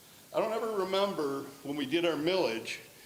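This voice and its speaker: A man with a high pitch for a man and ordinary pitch variation at a moderate pace, amid noticeable background noise and audible room echo. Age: 60s. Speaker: public commenter at school board meeting. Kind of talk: public comment. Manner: animated.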